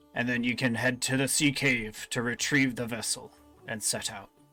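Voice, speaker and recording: A man puts on a raspy character voice at a medium pitch, speaking at a moderate pace. His intonation stays monotone and flat, with faint music in the background. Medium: actual play. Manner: measured, formal.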